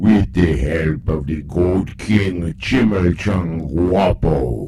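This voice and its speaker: Using a put-on character voice, a man speaks very slowly in a very deep, low pitch against clear background noise. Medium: audio drama. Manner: dry, sarcastic.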